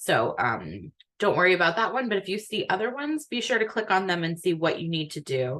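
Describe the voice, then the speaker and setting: Very wide pitch swings run through this woman's medium-pitched voice, which has vocal fry and moves at a fairly quick pace. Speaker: academic advisor. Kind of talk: online orientation briefing. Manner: soft-spoken. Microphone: too quiet for auto-captions.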